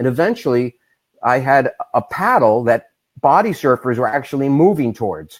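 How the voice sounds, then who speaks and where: In a very clean recording with a silent background, a man with a New York accent speaks at a moderate pace and a medium pitch. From New York, Long Beach. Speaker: massage therapist and bodysurfing product maker. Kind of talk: interview.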